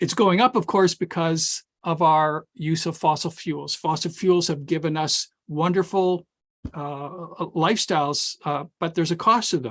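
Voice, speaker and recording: Dry and close with no echo, the voice moves at a moderate pace with ordinary pitch variation over a quiet background. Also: man, high pitch for a man. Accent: Canadian Prairie. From Saskatchewan, Canada (Regina). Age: 60s. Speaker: climatologist and professor. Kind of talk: webinar presentation. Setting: online webinar. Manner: hesitant, with repetitions and fillers.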